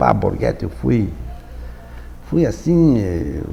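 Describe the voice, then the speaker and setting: A man with a very deep, low voice speaks at a moderate pace with very wide pitch swings and audible room echo. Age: 80s+. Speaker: folklore institute president. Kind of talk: interview. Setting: studio. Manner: halting.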